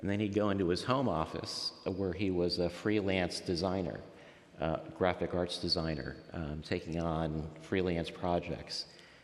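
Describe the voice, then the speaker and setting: A man's very deep, low voice at a moderate pace, ordinary pitch variation, and audible room echo. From Miami, Florida (Cuban-American family). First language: Spanish. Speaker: faith story guest, professional. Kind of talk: interview testimony. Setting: church nave.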